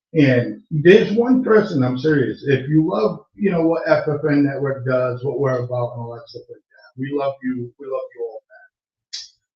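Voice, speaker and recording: A man with an American accent speaks at a moderate pace with hardly any pauses, his fairly high, somewhat breathy voice showing ordinary pitch variation. His loudness swings widely. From Massachusetts. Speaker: online radio show host. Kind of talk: casual live-stream talk. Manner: halting, many fillers. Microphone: sounds far away, mic problem.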